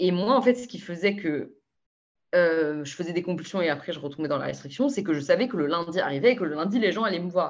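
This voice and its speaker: Against a quiet background, a woman talks at a very fast pace. Her fairly low pitch carries lively intonation. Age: 20s. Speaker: consultant sharing eating disorder recovery. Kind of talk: interview testimony.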